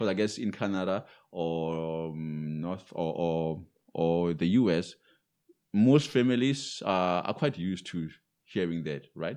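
A man with a non-native accent speaks fairly slowly in a very deep, low voice with a dark, mellow tone and ordinary pitch variation over a quiet background. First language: not English. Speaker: English teacher and podcast co-host. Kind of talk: casual chat. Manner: hesitant with many fillers.

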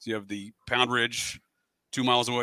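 A man talks at a very fast pace in a bright, sharp tone with monotone, flat intonation, on a very clean recording with a silent background. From US, raised partly by West Virginian; born Fairfield County, Connecticut. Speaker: podcast host appearing as guest, conspiracy researcher. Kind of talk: casual podcast discussion.

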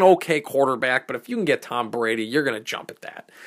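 The speaker talks at a very fast pace with an animated tone and lively intonation. The recording is very clean, with a silent background. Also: man. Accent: Boston. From Boston area, Massachusetts. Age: 20s. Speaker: sports podcaster. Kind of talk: solo sports commentary. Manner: animated, opinionated.

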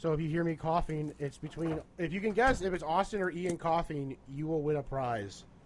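Using a plain, everyday voice, a man with a fairly high pitch speaks at a moderate pace with ordinary pitch variation and hardly any pauses. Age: 20s. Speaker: beer tasting podcast co-host. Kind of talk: casual chat.

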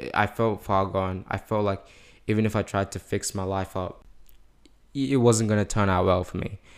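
The voice moves at a moderate pace with fairly even intonation in a very clean recording with a silent background. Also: man, fairly low pitch for a man. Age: young. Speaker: podcast guest. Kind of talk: testimony. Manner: halting.

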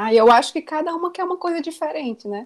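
A woman is speaking. Her pitch swings very widely. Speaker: mother sharing experience on career and motherhood. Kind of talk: casual group conversation.

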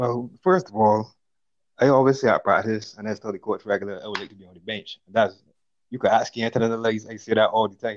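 A man with a Barbadian accent talks at a very fast pace in a medium pitch, his intonation fairly even and his loudness swinging widely. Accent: Bajan (Barbadian). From Barbados, St. George. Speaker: footballer. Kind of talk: casual chat.

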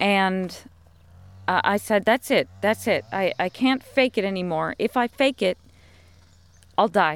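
In an American accent, the speaker goes at a fairly slow pace with long, frequent pauses, very even loudness and ordinary pitch variation, all in a dry, close sound with no echo. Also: woman, medium pitch for a woman. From United States. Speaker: podcast host. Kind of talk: casual monologue.

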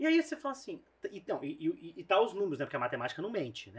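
Very wide pitch swings mark a man's speech, delivered at a very fast pace. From interior of São Paulo state, Brazil. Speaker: videocast host. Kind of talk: casual interview.

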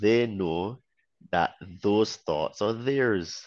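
The background stays quiet. Over it, a man talks. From Barbados. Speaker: online fitness trainer. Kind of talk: casual chat.

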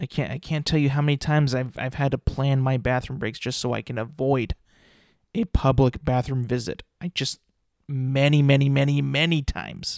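The sound is dry and close, with no echo. A man of medium pitch talks at a moderate pace with fairly even intonation. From California. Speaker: podcast host. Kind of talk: casual solo chat. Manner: halting, many fillers and restarts.

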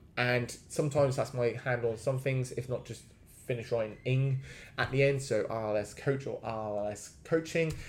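Somewhat breathy delivery at a moderate pace, with fairly even intonation. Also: man, medium pitch for a man. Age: 30s. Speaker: fitness coach. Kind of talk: solo podcast monologue. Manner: hesitant with many fillers.

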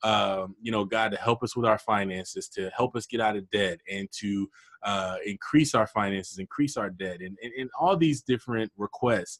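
In a dry, close sound with no echo, a man with a normal speaking voice talks at a fairly low pitch and moderate pace with ordinary pitch variation. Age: 30s. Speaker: podcast host, entrepreneur. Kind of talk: casual interview.

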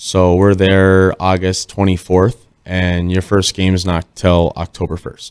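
A man with an American accent, very deep and low in pitch, at a fairly slow pace with hardly any pauses, in a monotone, flat intonation, on a very clean recording with a silent background. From Minnesota (Northfield). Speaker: professional hockey player. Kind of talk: casual chat.

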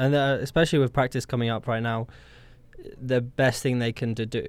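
A man with a medium pitch speaks with a British accent. The recording is very clean, with a silent background. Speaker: co-host, student. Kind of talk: casual chat.

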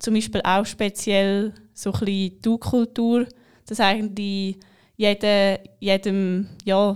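The speech is very slow, with monotone, flat intonation. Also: woman, very clean recording, silent background. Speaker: bank apprentice. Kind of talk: podcast interview. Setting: studio.

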